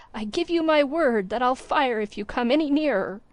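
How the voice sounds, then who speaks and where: A woman uses a put-on character voice, high in pitch and shaky. She speaks at a moderate pace. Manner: fearful, threatening.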